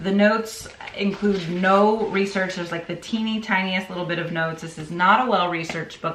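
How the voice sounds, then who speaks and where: Fairly quick speech from a woman at medium pitch, ordinary pitch variation, amid noticeable background noise and audible room echo. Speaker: book reviewer and teacher. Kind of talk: casual book review. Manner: animated; fast.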